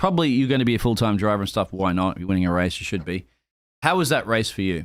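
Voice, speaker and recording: Over a silent background in a very clean recording, a man speaks very fast with an Australian accent. His pitch is fairly low and his intonation lively. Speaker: sim racing stream caster. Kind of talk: live stream commentary and post-race interview.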